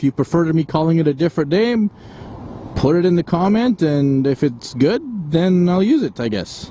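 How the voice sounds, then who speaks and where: Over noticeable background noise, a man with a Canadian accent talks at a moderate pace with very wide pitch swings. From Canada. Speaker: motovlogger. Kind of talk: casual vlog talk. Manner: casual with frequent fillers.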